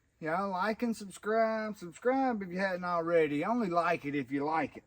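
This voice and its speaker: Speaking with a Southern US accent, a man talks at a moderate pace in a high pitch with ordinary pitch variation. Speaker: homesteading YouTuber. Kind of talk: unboxing tutorial. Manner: casual, folksy.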